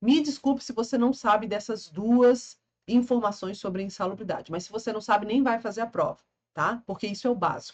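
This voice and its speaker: With a fairly high pitch and lively intonation, a woman speaks in a somewhat breathy voice. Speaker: law teacher for public exams. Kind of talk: lecture. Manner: animated.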